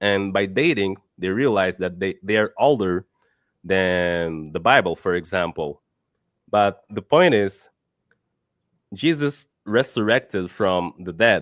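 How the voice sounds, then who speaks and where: A man with a Portuguese accent at a very slow pace, ordinary pitch variation and long, frequent pauses, in a very clean, dry, close recording with a silent background and no echo. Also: fairly low pitch for a man. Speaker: debater. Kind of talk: debate. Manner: halting.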